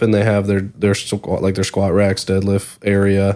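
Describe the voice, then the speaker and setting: On a very clean recording with a silent background, a man speaks at a moderate pace in a fairly low, normal speaking voice. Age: 20s. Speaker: fitness trainer. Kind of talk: casual chat.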